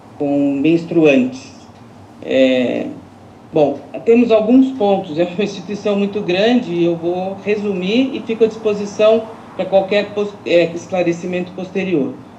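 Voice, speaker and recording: Amid noticeable background noise and audible room echo, a woman at medium pitch speaks at a fairly slow pace with lively intonation. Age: 60s. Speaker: social institution director. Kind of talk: public consultation statement. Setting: video call. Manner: hesitant fillers.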